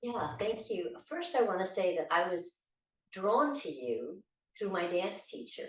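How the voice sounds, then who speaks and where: At a fairly slow pace, a woman with a medium pitch and vocal fry speaks with very wide pitch swings. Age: 60s. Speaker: bereaved widow, dancer. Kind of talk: personal testimony.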